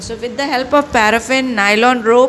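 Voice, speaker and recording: There is noticeable background noise in this clip. A woman speaks in a high voice. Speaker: school English teacher. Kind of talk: online class lecture. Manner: slow; halting, many fillers and self-corrections.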